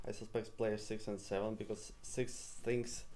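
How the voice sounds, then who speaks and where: Recorded with audible room echo, a man with a Russian accent has a dark, mellow tone, a medium pitch, and ordinary pitch variation. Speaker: mafia game player. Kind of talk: game defense speech.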